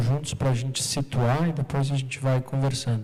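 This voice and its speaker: A man's fairly high, flat, monotone voice with a southern Brazilian accent, at a moderate pace over noticeable background noise. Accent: Porto Alegre (gaúcho). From southern Brazil, Porto Alegre. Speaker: artist and researcher giving a talk. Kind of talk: talk at an art event, partly reading aloud.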